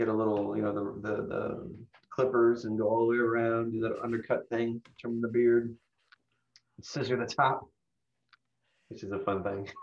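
The speaker talks at a moderate pace in a flat monotone, pausing long and often. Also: man, medium pitch for a man. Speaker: podcast co-host. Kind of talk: casual chat.

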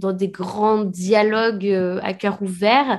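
A woman at medium pitch in a monotone, flat intonation, very slow pace, quiet background. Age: 30s. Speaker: author and illustrator. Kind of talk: casual interview. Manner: halting.

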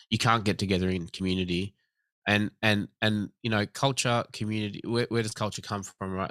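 Fairly quick speech from a man with an Australian accent, fairly even intonation and a very clean recording with a silent background. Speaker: government commissioner for night-time economy. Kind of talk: interview.

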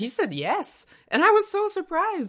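This woman speaks with a Hungarian accent. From Hungary, Budapest. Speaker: researcher. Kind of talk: interview. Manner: halting.

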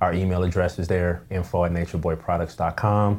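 An American accent from a man with a very deep, low pitch. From Pasadena, California. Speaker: entrepreneur, beard care product maker. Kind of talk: interview conversation.

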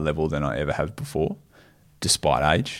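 A man speaks at a moderate pace with an Australian accent. The recording is very clean, with a silent background. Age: 30s. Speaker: professional triathlete and coach. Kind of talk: casual chat.

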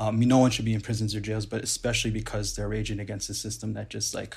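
A man talks at a very fast pace with vocal fry and a fairly low pitch. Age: 30s. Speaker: activist organizer. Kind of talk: casual chat. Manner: halting.

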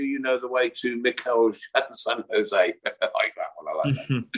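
A man talks with a Birmingham accent. His pace is moderate. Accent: Birmingham (Brummie). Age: 60s. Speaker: podcast host. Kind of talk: casual chat.

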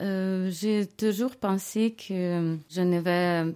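The recording is very clean with a silent background. A woman talks in a dark, mellow tone with ordinary pitch variation. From Ukraine, Kyiv. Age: 40s. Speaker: refugee, lawyer. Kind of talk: testimony. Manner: halting, with hesitations.

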